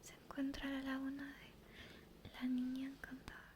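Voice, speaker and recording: Over noticeable background noise, a woman speaks in a whisper. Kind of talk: ASMR story reading for sleep. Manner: soft-spoken, whispered.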